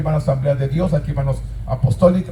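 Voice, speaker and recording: A man speaks at a very fast pace. Noticeable background noise runs behind him. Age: 60s. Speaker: pastor. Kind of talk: sermon. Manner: repetitive, emphatic preaching.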